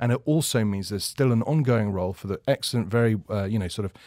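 Very fast speech from a man with fairly low pitch, dry and close with no echo, on a very clean recording with a silent background. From London, England. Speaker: recruitment consultant. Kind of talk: radio panel discussion. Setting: studio.

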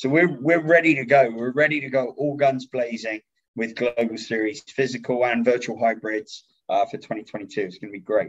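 A man with an English accent at a medium pitch and moderate pace, with ordinary pitch variation. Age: 30s. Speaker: events company CEO. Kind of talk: casual interview.

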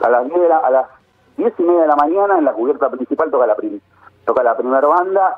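This man talks at a fairly high pitch with lively intonation. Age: 40s. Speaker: journalist. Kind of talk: interview. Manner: halting, many repetitions.

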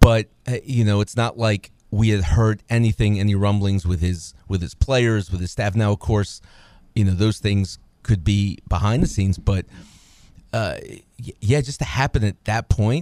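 A man at a fairly low pitch with a dark, mellow tone, ordinary pitch variation and a moderate pace, in a dry, close sound with no echo and a very clean recording with a silent background. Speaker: sports radio co-host, former basketball coach. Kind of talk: casual sports talk. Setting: radio studio.

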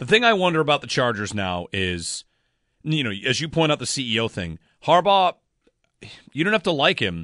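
A man speaks at a fairly quick pace with very wide pitch swings, a bright, sharp tone and vocal fry, recorded dry and close with no echo against a quiet background. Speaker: sports radio host. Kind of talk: sports talk radio discussion. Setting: studio.

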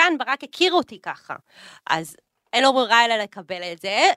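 A woman with a bright, sharp tone and very wide pitch swings at a fairly quick pace, in a very clean recording with a silent background and a dry, close sound with no echo. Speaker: influencer and businesswoman. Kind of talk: casual chat. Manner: loud. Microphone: echo in the room.

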